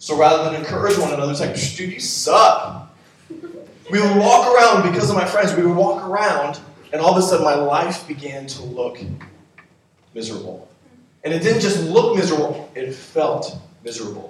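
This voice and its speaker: The intonation here is lively, with big swings in loudness. The pace stays moderate. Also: man, high pitch for a man. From US East Coast and Washington State. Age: 30s. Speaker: pastor. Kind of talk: sermon. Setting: church. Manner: animated.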